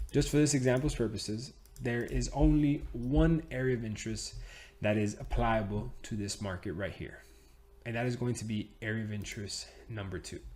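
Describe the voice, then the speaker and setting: Animated in tone and somewhat breathy, the voice moves at a moderate pace with ordinary pitch variation. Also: man, fairly low pitch for a man. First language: Spanish. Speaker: trading educator. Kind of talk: tutorial. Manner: casual, animated.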